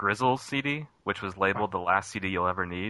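A man with an unremarkable speaking voice talks at a fairly quick pace, his pitch fairly low. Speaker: call-in guest. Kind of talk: casual chat. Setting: phone call.

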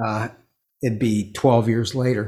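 A man with a medium-pitched, somewhat breathy voice talks at a fairly slow pace. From US Pacific Northwest, Seattle. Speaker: musician, string quartet founder. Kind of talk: interview. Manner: halting.

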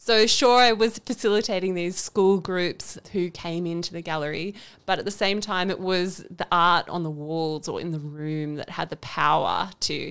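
A woman with an Australian accent talks at a fairly low pitch. She barely pauses, and the recording is very clean with a silent background. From Canberra, Australia. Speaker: podcast co-host, environment centre deputy director. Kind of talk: casual interview chat. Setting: studio.

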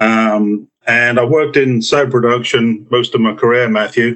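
A man with an American accent, a medium pitch and a fairly slow pace. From UK. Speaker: group housing specialist, swine industry expert. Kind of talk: interview, casual expert talk.

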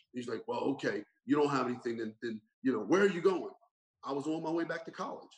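With an American accent, a man talks at a very fast pace. His pitch is fairly high and his intonation lively. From US Northeast (Burlington Township, New Jersey). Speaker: pastor and lawyer. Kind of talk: interview conversation. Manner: animated storytelling.

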